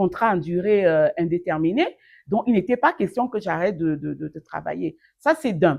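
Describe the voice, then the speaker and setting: Against a quiet background, a woman with an ordinary speaking voice talks fairly slowly with lively intonation. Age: 50s. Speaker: online training advisor, master's graduate. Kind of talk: interview answer. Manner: warm, lively, motivational.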